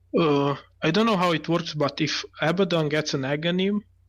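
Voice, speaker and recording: His accent is non-native. The man talks at a moderate pace. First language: not English. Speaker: guest esports caster. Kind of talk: live commentary. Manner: halting.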